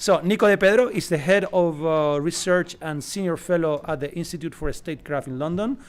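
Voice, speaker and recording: A man talks with ordinary pitch variation. The recording is very clean, with a silent background. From southern Spain. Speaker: panel moderator. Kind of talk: conference panel introduction. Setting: conference stage with audience. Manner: hesitant, many fillers.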